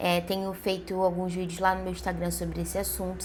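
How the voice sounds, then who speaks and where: Medium in pitch, a woman's voice comes across somewhat breathy. Audible room echo surrounds it. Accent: Brazilian. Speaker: vlogger. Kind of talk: casual vlog monologue. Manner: conversational, many fillers and hesitations.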